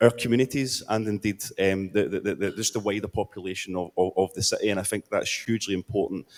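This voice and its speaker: A man talks at a very fast pace with hardly any pauses and fairly even intonation. His voice is fairly low, and the sound is dry and close with no echo. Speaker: city councillor. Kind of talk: conference panel speech. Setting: conference panel. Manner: halting, with many fillers and repeats.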